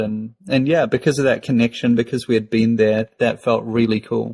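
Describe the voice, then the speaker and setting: Over music in the background, a man talks at a medium pitch with a New Zealand accent. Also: dry, close sound with no echo. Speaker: podcast co-host. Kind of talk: casual chat.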